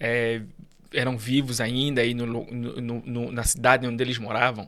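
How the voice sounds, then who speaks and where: Speaking with an Angolan accent, a man keeps a monotone, flat intonation at a medium pitch and a moderate pace. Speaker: immigrant guest. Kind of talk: podcast interview.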